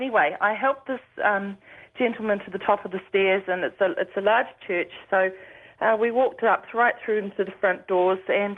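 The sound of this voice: A woman with a New Zealand accent at medium pitch, moderate pace, few pauses and ordinary pitch variation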